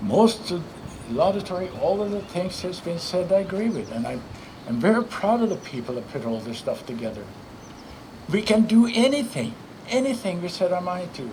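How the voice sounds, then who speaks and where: Speaking fairly quickly with a non-native accent and very wide pitch swings, the voice carries audible room echo over noticeable background noise. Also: man, high pitch for a man. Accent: foreign. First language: not English. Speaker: former state senator and philanthropist. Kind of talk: ceremony speech. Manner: halting.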